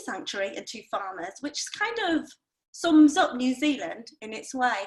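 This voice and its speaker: A woman at a fairly slow pace with very wide pitch swings. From Northeast England. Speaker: wine expert. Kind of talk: webinar presentation. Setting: online webinar.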